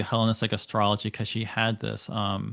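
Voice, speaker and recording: A man with an American accent and a medium pitch. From United States. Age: 40s. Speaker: astrologer. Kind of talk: interview conversation. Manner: hesitant, many fillers.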